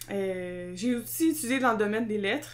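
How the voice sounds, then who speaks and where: A fairly high-pitched woman with lively intonation, in a Quebec accent. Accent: Québécois French. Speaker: podcast co-host. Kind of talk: casual chat. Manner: loud; energetic.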